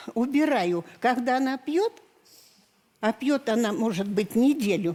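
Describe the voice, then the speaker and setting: With lively intonation and a fairly high pitch, a woman speaks at a very slow pace. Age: 70s. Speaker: talk show guest, grandmother. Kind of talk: emotional talk show testimony. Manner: halting, stammering.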